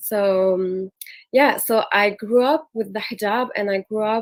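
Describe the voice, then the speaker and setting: In a Quebec accent, a woman talks at a fairly slow pace and medium pitch with fairly even intonation, the sound dry and close with no echo. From Quebec, Canada. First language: French. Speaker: lawyer. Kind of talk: personal testimony in panel. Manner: halting.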